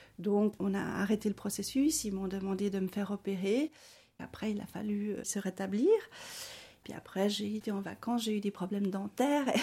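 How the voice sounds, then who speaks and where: Her voice is dark, mellow and somewhat breathy, set at a medium pitch. The woman keeps her intonation fairly even. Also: moderate pace. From Bolivia, then Switzerland from age 8. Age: 40s. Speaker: social worker. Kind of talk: personal testimony interview. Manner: hesitant, with frequent fillers.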